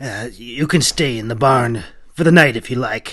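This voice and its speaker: A man puts on a gruff character voice at a medium pitch. He keeps a moderate pace with ordinary pitch variation against a quiet background. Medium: read story. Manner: wary, gruff.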